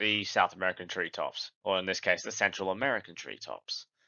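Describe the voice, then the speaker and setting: An Australian accent marks this man's speech. He talks at a moderate pace. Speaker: gaming YouTuber. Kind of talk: scripted narration.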